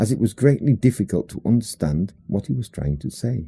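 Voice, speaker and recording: A fairly quick British-accented male voice, dark and mellow in tone, with very wide pitch swings. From England. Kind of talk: audiobook short story reading. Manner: humorous storytelling.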